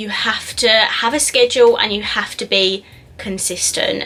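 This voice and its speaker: Noticeable background noise runs under this recording. The woman speaking has a fairly high pitch. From south-east England, Essex. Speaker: beauty YouTuber. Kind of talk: casual Q&A vlog.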